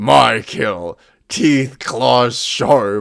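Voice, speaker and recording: A man's growling, put-on character voice. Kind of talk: broken grunting speech. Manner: growly, simple, declarative.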